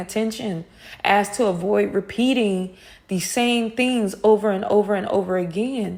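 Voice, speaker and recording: A woman speaks in an intense tone with ordinary pitch variation, and background noise is noticeable. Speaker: spiritual wellness coach and soul singer. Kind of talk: monthly wellness talk, audio recording. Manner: animated, gets louder when passionate.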